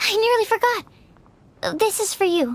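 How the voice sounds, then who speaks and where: In a put-on character voice, a woman speaks fairly slowly at an extremely high, squeaky pitch. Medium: video game. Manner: soft, earnest.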